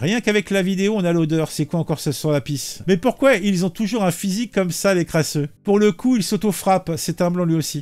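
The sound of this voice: Pitched high, a man talks at a fairly quick pace with few pauses and a slightly mellow tone. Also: ordinary pitch variation.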